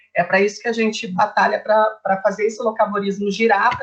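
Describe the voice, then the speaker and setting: A woman's somewhat breathy, fairly high voice at a fairly quick pace. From southern Brazil, Curitiba. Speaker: nutritionist. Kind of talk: informal presentation in a livestream chat. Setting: online livestream. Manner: fast.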